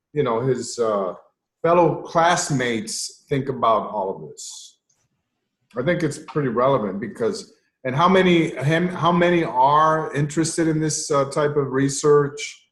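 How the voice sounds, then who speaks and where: The man's pitch is fairly high and his voice somewhat breathy. He talks at a fairly slow pace with lively intonation. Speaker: researcher and panelist. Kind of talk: casual panel discussion.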